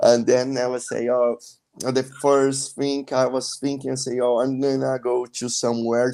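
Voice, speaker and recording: A man speaks with a Brazilian accent. His tone is dark and mellow, his intonation flat and monotone. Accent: non-native English, Brazilian. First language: Portuguese. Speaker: traveler. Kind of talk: interview. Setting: live stream video call. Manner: halting, with frequent fillers.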